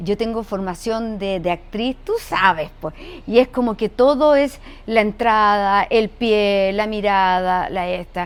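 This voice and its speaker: A woman speaks at a very slow pace in a medium pitch with ordinary pitch variation. The recording is very clean, with a silent background. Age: 70s. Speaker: actress and voice actor. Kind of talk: casual interview chat.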